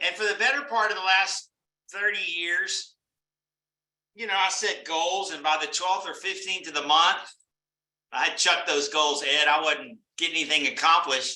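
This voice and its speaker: A high-pitched man's raised, projected voice, bright and sharp in tone, at a moderate pace with ordinary pitch variation and long, frequent pauses. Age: 60s. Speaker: business networking franchise leader. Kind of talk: motivational talk to a live online group. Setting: live online meeting with chat. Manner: conversational, addresses attendees by name.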